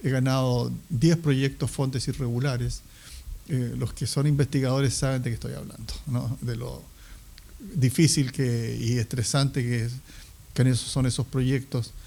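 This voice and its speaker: A man with a dark, mellow, somewhat breathy tone, medium pitch, fairly even intonation and a fairly slow pace. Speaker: historian. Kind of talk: interview. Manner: halting, many fillers.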